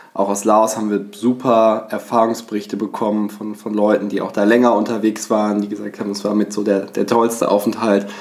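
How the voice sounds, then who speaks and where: The man's voice is fairly low and monotone, with flat intonation. He keeps a moderate pace. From western Germany, Bonn. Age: 20s. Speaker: travel podcast co-host. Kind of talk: casual chat. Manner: hesitant, many filler sounds.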